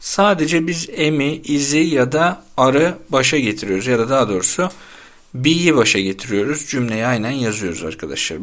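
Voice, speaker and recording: Lively intonation from a man with an ordinary speaking voice, pitched in the medium range and moving at a moderate pace. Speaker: English teacher. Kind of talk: tutorial.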